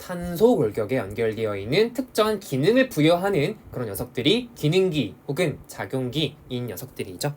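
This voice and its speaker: An animated, fairly high-pitched male voice with very wide pitch swings and hardly any pauses. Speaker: science teacher. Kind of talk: lecture. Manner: fast.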